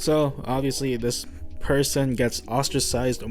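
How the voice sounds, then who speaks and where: The speaker talks at a moderate pace with music in the background. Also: man. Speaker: art YouTuber. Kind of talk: casual storytime commentary. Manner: rambly, unscripted with fillers.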